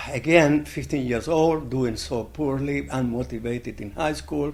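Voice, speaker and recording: With audible room echo, a man talks at a fairly slow pace using lively intonation. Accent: Spanish. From Chile. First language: Spanish. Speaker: blacksmith. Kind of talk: oral history interview. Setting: conference.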